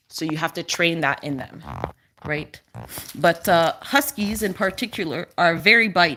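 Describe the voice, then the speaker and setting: Speaking at a moderate pace, a woman has a fairly low pitch, lively intonation, and a bright, sharp tone. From Quebec, Canada. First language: French. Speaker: dog owner livestreamer. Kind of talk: casual live stream chat. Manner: animated baby talk to dog.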